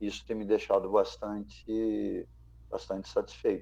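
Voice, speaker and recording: A man talks at a fairly slow pace. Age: 60s. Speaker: former footballer. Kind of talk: testimony. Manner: halting.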